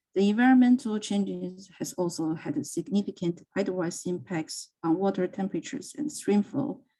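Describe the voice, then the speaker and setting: A woman speaks at medium pitch with a dark, mellow, somewhat breathy tone. Her pace is moderate, her intonation lively, and she barely pauses. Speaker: software developer. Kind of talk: conference talk. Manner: halting.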